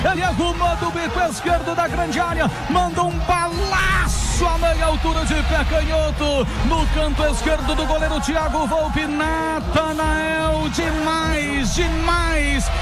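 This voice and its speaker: A man speaking at a very slow pace over loud background music. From Brazil. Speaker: sports commentator. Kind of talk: excited football goal call. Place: booth. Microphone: handheld.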